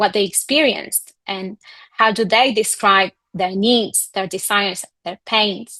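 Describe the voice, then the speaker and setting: In a Spanish accent, a woman talks at a moderate pace with fairly even intonation. The sound is dry and close with no echo against a quiet background. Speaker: communications coach. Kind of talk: online masterclass presentation.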